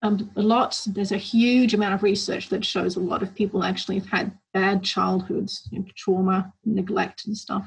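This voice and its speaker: Vocal fry runs through monotone, flat intonation. The pace is moderate, with hardly any pauses. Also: woman, medium pitch for a woman. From grew up internationally, moved between countries. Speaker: psychotherapist. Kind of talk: interview.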